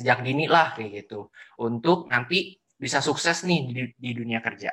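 A man has an unremarkable speaking voice at medium pitch. He talks at a moderate pace with lively intonation. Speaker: student podcast host. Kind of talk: casual interview.

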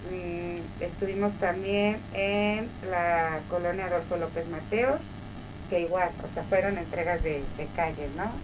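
Over noticeable background noise and audible room echo, a woman talks very slowly. Her pitch is fairly low and her intonation fairly even. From Mexico, Tlaxcala. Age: 30s. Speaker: mayor. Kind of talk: interview.

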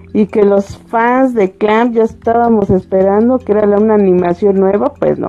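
A woman talks with a central Mexican accent. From central Mexico. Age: 40s. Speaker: live streamer. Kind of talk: casual chat. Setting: live stream.

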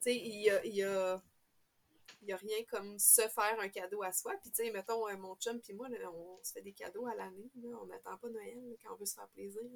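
A woman talks at a medium pitch in a monotone, flat intonation. Her loudness swings widely. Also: moderate pace. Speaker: knitting podcaster. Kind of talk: casual chat.

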